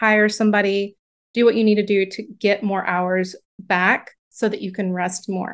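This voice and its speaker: An unremarkable speaking voice from a woman with an American accent, at a medium pitch and moderate pace with fairly even intonation, over a quiet background. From US South. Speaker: book coach. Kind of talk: interview.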